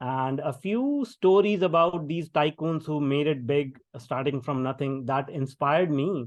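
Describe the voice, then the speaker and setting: A man's fairly high voice with an Indian accent, fairly slow and with hardly any pauses, ordinary pitch variation, quiet background. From India, small town. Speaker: tech entrepreneur and keynote speaker. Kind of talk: podcast interview. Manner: many fillers and hesitations.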